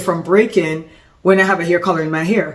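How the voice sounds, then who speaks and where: A woman with a Jamaican accent talks at a very fast pace in an animated tone. There is noticeable background noise. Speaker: salon business consultant, former hairstylist. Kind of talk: business tutorial. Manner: casual, animated with self-corrections.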